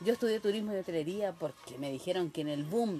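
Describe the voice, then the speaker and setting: Noticeable background noise sits behind the speaker. A woman talks at a fairly low pitch with lively intonation. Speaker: interviewee recalling the 1980s. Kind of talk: casual interview.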